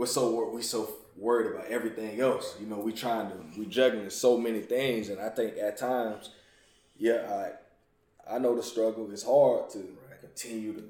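The voice has a dark, mellow tone and monotone, flat intonation at a moderate pace. Its loudness swings widely, and audible room echo is present. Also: man, medium pitch for a man. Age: 30s. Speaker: podcast host. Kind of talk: casual chat.

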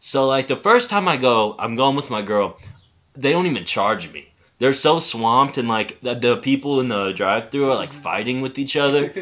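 Here a man uses an ordinary speaking voice at a medium pitch and a moderate pace, with ordinary pitch variation. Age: 20s. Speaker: podcast co-host. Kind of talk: casual chat.

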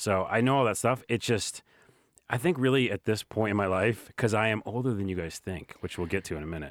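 A man with an ordinary speaking voice talks at a fairly low pitch and a fairly quick pace, with ordinary pitch variation, in a dry, close sound with no echo. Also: very clean recording, silent background. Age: 40s. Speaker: video creator. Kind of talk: casual chat.

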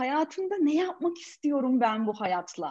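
Lively intonation from a woman speaking fairly slowly. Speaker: coach and corporate trainer. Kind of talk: casual interview. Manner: animated.

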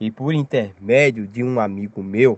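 Against a quiet background, a man speaks very slowly in a medium pitch. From Brazil, Paraíba (Campina Grande). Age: 30s. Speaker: storyteller sharing a UFO experience. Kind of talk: personal testimony.

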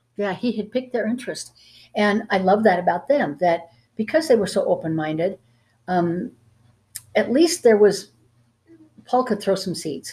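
With a dark, mellow, somewhat breathy tone at a medium pitch, a woman speaks at a moderate pace with lively intonation and long, frequent pauses, in a very clean recording with a silent background. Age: 70s. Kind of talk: Bible teaching discussion.

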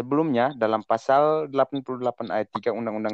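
The speaker is a man. He uses ordinary pitch variation. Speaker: economics student. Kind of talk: student group discussion.

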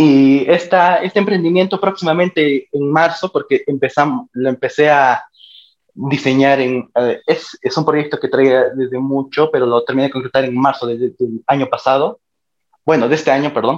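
Speaking in a normal speaking voice, the man keeps a moderate pace and a fairly high pitch that varies in an ordinary way. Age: 20s. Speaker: university student. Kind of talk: interview.

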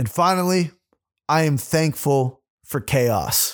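In a very clean recording with a silent background, a man speaks fairly slowly in a fairly high, animated voice with ordinary pitch variation. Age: 20s. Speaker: podcast host and rapper. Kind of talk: solo monologue podcast.

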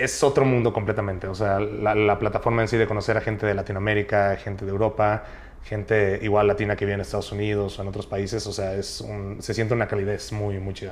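Over noticeable background noise, a man talks at a very fast pace in a flat monotone. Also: fairly low pitch for a man. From Mexico, Chiapas (Tuxtla Gutiérrez). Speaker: youtuber. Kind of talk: casual chat.

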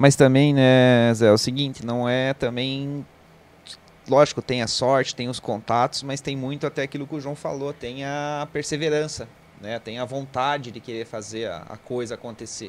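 A man with a normal speaking voice talks at a moderate pace, keeping a fairly even intonation but with big swings in loudness. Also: medium pitch for a man. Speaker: co-host. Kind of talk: casual chat.

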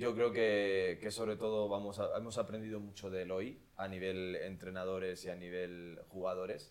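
In an ordinary speaking voice, a man talks at a moderate pace with hardly any pauses, using fairly even intonation and a fairly low pitch. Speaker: podcast host. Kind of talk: casual chat.

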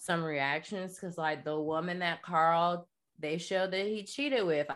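This woman has a normal speaking voice, with an American accent and fairly low pitch. She talks at a moderate pace with ordinary pitch variation over a very clean recording and silent background. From US South, North Florida (Jacksonville). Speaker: artist, activist and podcast host. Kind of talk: casual interview, personal testimony. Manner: casual, many fillers (like, um).

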